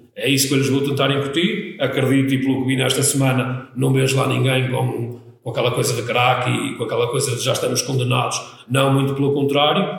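Delivered at a fairly quick pace with fairly even intonation, the speech carries audible room echo and noticeable background noise. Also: man, medium pitch for a man. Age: 40s. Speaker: football coach. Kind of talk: interview. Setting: studio. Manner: halting, many repetitions.

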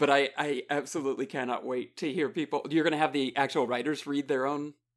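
With an ordinary speaking voice, a man talks at a fairly quick pace in a fairly high pitch with fairly even intonation, on a very clean recording with a silent background. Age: 40s. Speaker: podcast co-host and voice actor. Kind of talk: casual chat.

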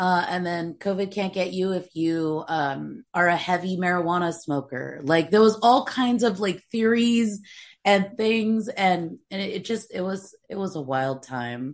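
Her voice is an unremarkable speaking voice, a woman at medium pitch moving at a fairly slow pace with lively intonation. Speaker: comedy podcast co-host. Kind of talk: casual chat.

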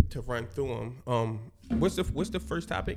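A man speaks at a moderate pace with lively intonation, a medium pitch and some vocal fry. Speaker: podcast host. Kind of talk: casual chat. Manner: filler-heavy, repetitive.

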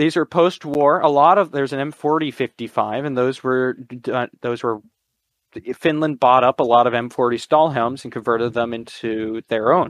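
A man with an American accent speaks in a plain, everyday voice. His pitch is medium with ordinary variation, and his pace is moderate. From Connecticut, US. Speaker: militaria collector. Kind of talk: casual chat.

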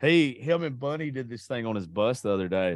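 A man with a Southern US accent against a quiet background. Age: 30s. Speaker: podcast host. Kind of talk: casual chat.

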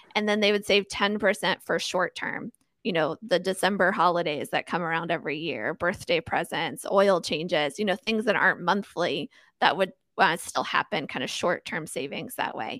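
A woman with a normal speaking voice talks at a moderate pace, fairly low in pitch with ordinary pitch variation. The recording is very clean with a silent background and a dry, close sound with no echo. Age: 30s. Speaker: financial coach and podcast host. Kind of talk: podcast interview. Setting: podcast recording.

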